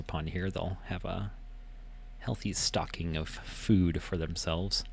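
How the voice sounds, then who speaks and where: Soft-spoken, a man talks at a fairly slow pace. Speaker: gaming video creator. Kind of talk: casual game walkthrough narration. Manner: quiet, soft-spoken; halting, many fillers.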